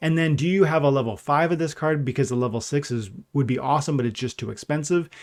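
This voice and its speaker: A very fast pace from a man at a fairly high pitch with ordinary pitch variation. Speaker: gaming YouTuber / livestreamer. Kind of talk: live stream chat. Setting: livestream. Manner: animated.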